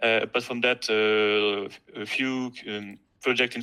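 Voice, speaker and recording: A fairly low, bright and sharp male voice with a strong French accent, very slow and monotone, on a very clean recording with a silent background. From France. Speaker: student competition winner. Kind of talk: presentation. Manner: halting, hesitant.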